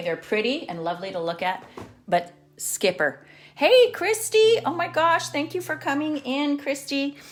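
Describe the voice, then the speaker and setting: Over music in the background, a woman talks at a moderate pace with very wide pitch swings. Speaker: watercolor art teacher. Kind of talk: live-streamed painting tutorial. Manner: casual, chatty.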